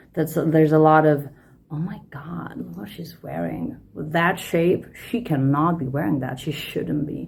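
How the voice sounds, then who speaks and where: A woman with a Lithuanian accent speaks fairly slowly at a very deep, low pitch with vocal fry and lively intonation, and the room echo is audible. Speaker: podcaster, personal development coach. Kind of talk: monologue podcast talk. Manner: casual, many fillers and repetitions.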